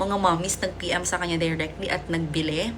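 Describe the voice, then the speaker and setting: In a room with audible echo, a woman speaks at a moderate pace in a fairly low pitch. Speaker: vlogger. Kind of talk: casual unboxing vlog. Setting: at home. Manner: animated.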